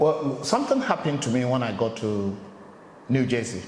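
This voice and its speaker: A man at medium pitch with an African accent and lively intonation, plus audible room echo and noticeable background noise. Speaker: interviewer, channel host. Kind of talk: casual interview chat.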